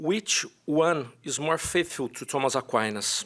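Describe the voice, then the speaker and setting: A man speaks with a Brazilian accent. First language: Portuguese. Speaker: philosophy professor. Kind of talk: conference paper presentation. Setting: conference with audience. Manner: halting.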